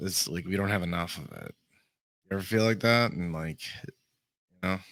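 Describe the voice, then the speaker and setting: This man speaks in a Boston accent with lively intonation. His tone is bright and sharp. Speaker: podcast host. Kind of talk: casual interview chat. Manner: animated.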